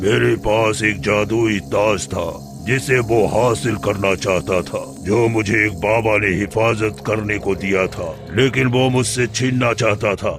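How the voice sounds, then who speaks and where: Over loud background music, a man puts on a cartoonish character voice, fairly low in pitch and fairly slow. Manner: commanding, grand.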